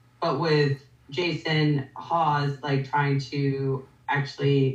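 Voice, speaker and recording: In an American accent, a woman speaks at a very deep, low pitch. Her intonation is monotone and flat, with noticeable background noise. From Rhode Island, US. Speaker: paranormal investigator. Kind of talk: casual interview chat.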